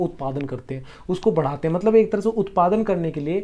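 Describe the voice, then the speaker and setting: A man's high-pitched voice has a dark, mellow tone and ordinary pitch variation. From Bihar, India (Patna). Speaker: history tutor. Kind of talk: online exam-prep lecture. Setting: home recording for YouTube. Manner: explanatory with frequent repetition.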